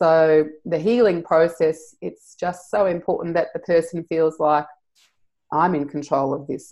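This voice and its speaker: Using a very deep, low pitch, a woman speaks at a fairly slow pace in an Australian accent. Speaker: EFT practitioner and trainer. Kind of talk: interview.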